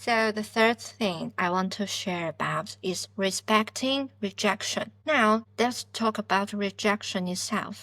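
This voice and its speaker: A woman with a non-native accent speaks at a medium pitch with a bright, sharp tone and fairly even intonation. Her very slow delivery has hardly any pauses, in a very clean recording with a silent background. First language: not English. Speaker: podcast host, PhD student. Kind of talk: self-help podcast monologue.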